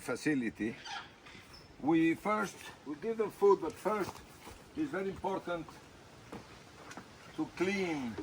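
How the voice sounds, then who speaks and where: With lively intonation, a man speaks in a high voice over noticeable background noise. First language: Spanish. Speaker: animal rescue worker. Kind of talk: casual video tour. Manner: halting.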